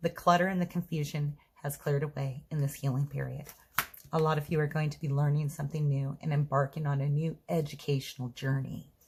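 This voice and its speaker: A woman's very deep, low voice in a flat monotone at a fairly quick pace, with noticeable background noise. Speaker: tarot reader. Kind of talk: tarot reading monologue. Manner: stuttering today; hesitant with fillers.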